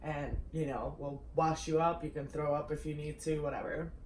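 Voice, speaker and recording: A woman talks fairly slowly, her words carrying audible room echo. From Russia. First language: Russian. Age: young. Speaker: YouTuber. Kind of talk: casual chat.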